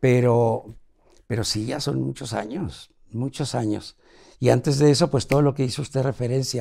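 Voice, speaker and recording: A man with a Mexican accent speaks at a moderate pace in a medium pitch, his dark, mellow tone and fairly even intonation captured on a very clean recording with a silent background. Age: 80s+. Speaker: TV producer. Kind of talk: interview.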